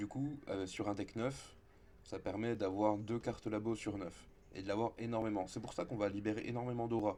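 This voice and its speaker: A man's fairly low voice has a dark, mellow tone. His intonation stays fairly even. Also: moderate pace. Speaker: video game content creator. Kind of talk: gameplay tutorial. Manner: casual, with hesitations.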